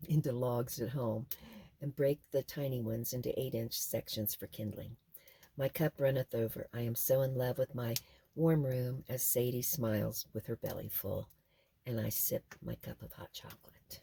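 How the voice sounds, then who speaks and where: In a dry, close recording with no echo, a woman speaks at a moderate pace with a very deep, low pitch, fairly even intonation, a somewhat breathy quality and a dark, mellow tone. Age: 70s. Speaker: off-grid homesteader vlogger. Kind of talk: casual chat; reading aloud.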